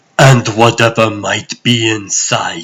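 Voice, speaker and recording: At a fairly slow pace, a man uses a put-on character voice at medium pitch with fairly even intonation. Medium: fan dub. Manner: solemn, measured.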